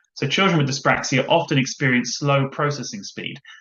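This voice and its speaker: The man's pitch is fairly high, with ordinary variation. He talks at a fairly quick pace. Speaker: education law solicitor. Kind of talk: webinar presentation. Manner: fast.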